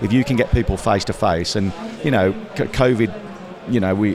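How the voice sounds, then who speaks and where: Amid noticeable background noise, a man with a Midlands accent speaks very fast in a fairly low voice with ordinary pitch variation. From English Midlands. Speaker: industry trade association representative. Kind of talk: casual interview at trade show. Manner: hesitant, many fillers.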